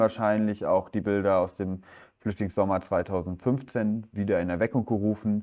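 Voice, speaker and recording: Speaking at a fairly slow pace, a man with a fairly low pitch keeps his intonation fairly even. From Ruhr area, Germany (Herne). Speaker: photographer. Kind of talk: lecture. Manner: hesitant, many filler sounds.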